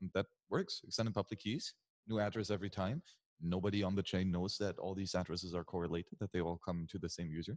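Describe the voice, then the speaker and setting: Very fast and fairly even in intonation, a man speaks in a very deep, low voice, with a dry sound with no echo and a quiet background. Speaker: interviewer. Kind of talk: casual interview. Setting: conference venue, on camera. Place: meeting room. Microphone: handheld.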